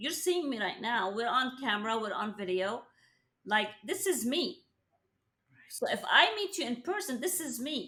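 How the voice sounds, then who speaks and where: Projecting her voice, a woman speaks at a moderate pace and a high pitch. Her pitch swings very widely. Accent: non-native. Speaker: real estate team leader. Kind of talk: interview.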